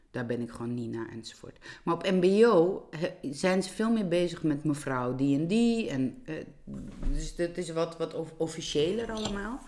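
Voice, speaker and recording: A woman with a fairly low pitch lets her voice swing very widely up and down. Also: fairly slow pace. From Georgia. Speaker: teacher and illustrator. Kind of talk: casual interview. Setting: home kitchen. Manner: halting.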